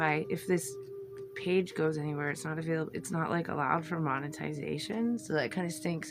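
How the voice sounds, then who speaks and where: A woman speaks at a fairly low pitch with lively intonation. Music plays in the background. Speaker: tarot and oracle card content creator. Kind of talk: casual unboxing video. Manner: chatty, hesitant with fillers.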